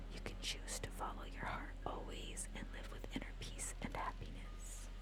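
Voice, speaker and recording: Someone whispers at a moderate pace against noticeable background noise. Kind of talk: ASMR whispered book reading. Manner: whispered.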